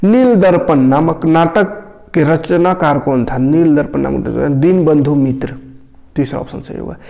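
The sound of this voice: With vocal fry and a dark, mellow tone, a man speaks at a fairly slow pace in a fairly high pitch, using ordinary pitch variation.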